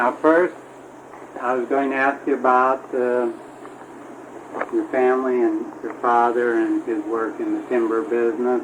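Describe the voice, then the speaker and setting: A man talks at a fairly slow pace, leaving long, frequent pauses. Noticeable background noise runs underneath. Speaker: oral history interviewer. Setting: home recording.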